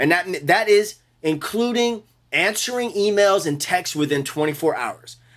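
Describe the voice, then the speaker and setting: At a moderate pace, a man with a high pitch speaks in an animated tone. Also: lively intonation. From New Orleans. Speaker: bass player. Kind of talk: interview.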